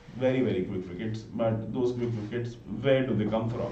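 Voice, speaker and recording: A man with an Indian accent speaks at a medium pitch and a moderate pace. His intonation is fairly even, and there is audible room echo. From north India (Gurgaon, Haryana). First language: Hindi. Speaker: live cricket commentator. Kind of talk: live commentary.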